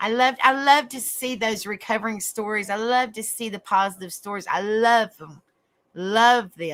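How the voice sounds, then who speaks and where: With a strong Southern US accent and a warm tone, a woman speaks at a fairly high pitch and a moderate pace, with ordinary pitch variation and big swings in loudness. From US South, East Tennessee. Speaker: online talk show host. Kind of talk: casual livestream chat. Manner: warm, chatty.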